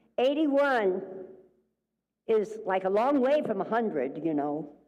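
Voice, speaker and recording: A woman talks at a fairly slow pace in a fairly high pitch with a dark, mellow tone. Her pitch swings very widely, and there is audible room echo. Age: 80s+. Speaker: minister. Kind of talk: sermon. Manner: animated.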